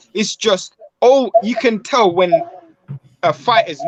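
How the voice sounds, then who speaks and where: A man with a British accent speaks at a high pitch with very wide pitch swings. The sound is dry and close with no echo. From UK, England. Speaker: boxing commentator, show co-host. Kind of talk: casual chat.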